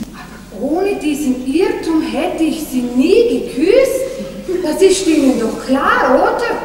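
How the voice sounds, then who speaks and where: A woman speaks at a very slow pace with an extremely high pitch. Audible room echo and light background noise surround her voice. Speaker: stage actress. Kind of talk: theatrical dialogue. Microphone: old recording.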